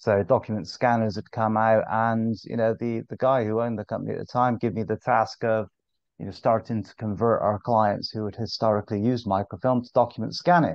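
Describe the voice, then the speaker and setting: A man with a Bristol accent at medium pitch and a fairly quick pace, with big swings in loudness. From England, Bristol. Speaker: sales director. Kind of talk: podcast interview. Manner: hesitant, many fillers.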